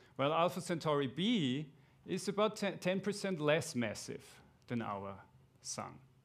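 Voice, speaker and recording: With an Austrian accent and vocal fry, a man with a fairly high pitch swings his pitch very widely and leaves long, frequent pauses, all on a very clean recording with a silent background. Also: moderate pace. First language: German. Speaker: astronomer. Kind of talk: lecture.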